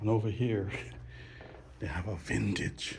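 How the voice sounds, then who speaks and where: A man whispers at a fairly slow pace. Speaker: travel vlogger and pilot. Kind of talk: casual vlog walkthrough. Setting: indoors, old hotel. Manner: quiet, hushed.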